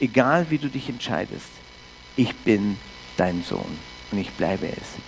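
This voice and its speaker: Through noticeable background noise, a man speaks at a moderate pace. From Canada. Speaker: pastor. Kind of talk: sermon.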